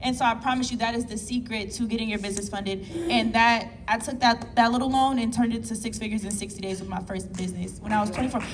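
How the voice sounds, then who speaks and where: Amid noticeable background noise and audible room echo, a woman talks at a very fast pace, fairly high in pitch, with fairly even intonation. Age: 20s. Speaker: entrepreneur on a panel. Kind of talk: panel discussion.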